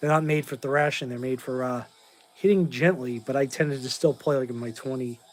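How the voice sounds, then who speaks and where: Here a man speaks with an American accent at a medium pitch. He keeps a fairly quick pace. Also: fairly even intonation. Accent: muddled Boston. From Massachusetts, south of Boston (Whitman). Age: 40s. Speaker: classic rock YouTuber and drummer. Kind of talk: live stream Q&A. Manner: casual, rambling.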